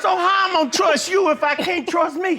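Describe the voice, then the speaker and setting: A man speaks in a raised, projected voice at an extremely high pitch and a moderate pace. Noticeable background noise is present. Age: 60s. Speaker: alleged father in paternity case. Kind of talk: courtroom testimony. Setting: TV courtroom. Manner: emotional.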